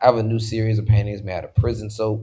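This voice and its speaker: A man with an American accent talks at a very fast pace. His fairly low voice is somewhat breathy. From Washington DC, of Haitian family. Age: 20s. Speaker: visual artist. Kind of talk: casual interview chat. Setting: live podcast recording in a studio. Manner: animated.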